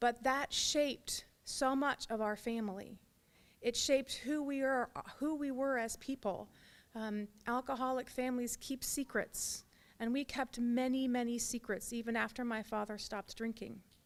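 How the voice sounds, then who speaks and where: The speaker has an American accent and talks at a moderate pace with fairly even intonation. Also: woman, high pitch for a woman. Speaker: pro-life activist, former abortion worker. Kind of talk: testimony.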